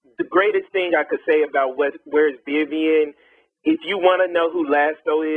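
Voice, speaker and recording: Speaking at a moderate pace, a man has an unremarkable speaking voice with a fairly high pitch and ordinary pitch variation. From US Midwest, Kansas City. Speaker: interviewer. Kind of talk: interview.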